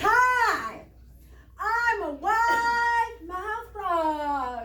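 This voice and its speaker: A squeaky, put-on character voice with audible echo. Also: woman, extremely high pitch for a woman. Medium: stage play. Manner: loud, wide-mouthed.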